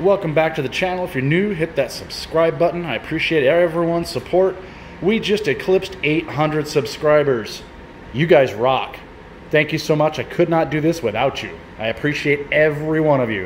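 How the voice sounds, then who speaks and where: There is light background noise as a man speaks. His pace is moderate and his pitch variation ordinary. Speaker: hobby mechanic channel host. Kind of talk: casual vlog chat. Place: garage. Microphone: phone near.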